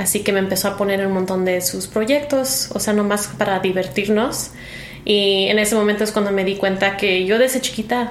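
A woman speaks at a medium pitch and a moderate pace. Audible room echo surrounds her voice. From US Midwest, Chicago (Mexican-born). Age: 20s. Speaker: actress. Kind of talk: casual interview chat. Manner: halting, searching for words in Spanish.

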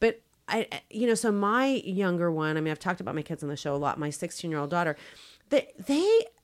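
A woman with an ordinary speaking voice and a fairly low pitch speaks at a moderate pace with lively intonation, on a very clean recording with a silent background. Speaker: doctor. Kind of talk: interview. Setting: studio.

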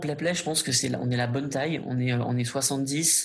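Somewhat breathy and at a fairly slow pace, a man speaks at a medium pitch with fairly even intonation. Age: 30s. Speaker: startup founder and CEO. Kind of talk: interview.

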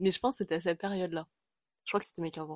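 A woman's fairly even intonation comes through a dry, close sound with no echo in a very clean recording with a silent background. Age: 20s. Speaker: podcast host. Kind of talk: casual monologue. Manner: hesitant, with many fillers.

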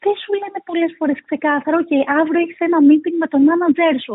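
The voice belongs to a woman with an extremely high pitch. She speaks at a moderate pace. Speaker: nonprofit executive director. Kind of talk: interview.

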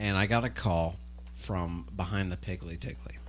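A man at a moderate pace. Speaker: voice actor playing radio co-host and characters. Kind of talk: scripted comedy sketch, pitchman-style ad read. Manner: over-the-top, gushing salesman patter, absurd and animated.

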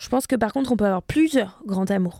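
A woman with a fairly high voice sounds animated, using ordinary pitch variation, in a very clean recording with a silent background and a dry, close sound with no echo. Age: 30s. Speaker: historian and content creator. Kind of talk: casual interview.

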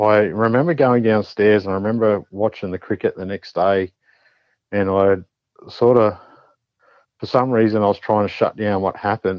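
Speaking with an Australian accent at a moderate pace, a man uses a fairly low pitch and fairly even intonation, with long, frequent pauses. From New South Wales, Australia. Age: 40s. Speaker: paranormal experiencer. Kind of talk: casual interview storytelling.

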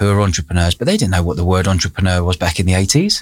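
This is a man speaking. He has a London accent. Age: 40s. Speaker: entrepreneur. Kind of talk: interview. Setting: studio.

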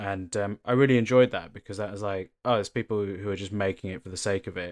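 A fairly quick delivery in a southern English accent, on a very clean recording with a silent background. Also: man. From England, Bath. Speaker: actor and comedian. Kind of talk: casual chat.

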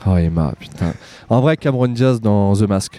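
A man's voice, fairly low in pitch. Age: 30s. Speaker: actor and YouTuber. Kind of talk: casual chat. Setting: outdoors on a street. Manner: animated.

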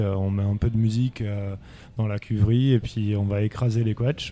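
The man speaks at a fairly low pitch. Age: 30s. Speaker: winemaker. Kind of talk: casual interview.

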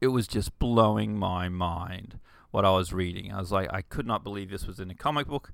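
Over a silent background in a very clean recording, a man with vocal fry talks at moderate pace and fairly low pitch, with ordinary pitch variation. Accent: Australian. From Queensland, Australia (rural, Bundaberg). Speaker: podcast host, comic writer and artist. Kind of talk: casual solo talk about comics. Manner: hesitant, many fillers and restarts.

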